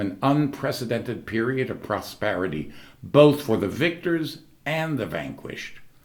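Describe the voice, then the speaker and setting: Lively in intonation and with vocal fry, a man talks at a moderate pace. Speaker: actor and secular humanist. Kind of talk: commencement speech.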